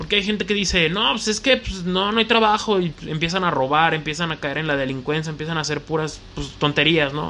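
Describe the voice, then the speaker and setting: A man with a central Mexican accent speaks in a high voice, its pitch moving in an ordinary way. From Mexico, León, Guanajuato. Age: 20s. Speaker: podcast host, DJ and collectibles shop owner. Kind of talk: solo casual monologue.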